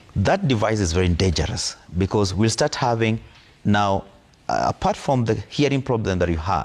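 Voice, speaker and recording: Here a man talks at a moderate pace with a fairly low pitch. His intonation is lively, and his loudness stays very even. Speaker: audiologist. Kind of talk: TV interview.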